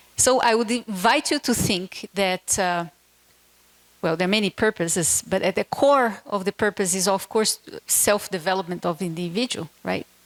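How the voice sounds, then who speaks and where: A woman speaks in a Portuguese accent at medium pitch and a moderate pace. Her pitch varies in an ordinary way, and the sound is dry and close with no echo. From Brazil. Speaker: keynote speaker, education NGO director. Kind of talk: keynote speech.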